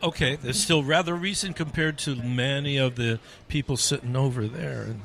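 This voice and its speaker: A man speaks in a New Jersey accent. His pitch is fairly high. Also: ordinary pitch variation, moderate pace. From New Jersey, Asbury Park. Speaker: radio host. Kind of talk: casual chat.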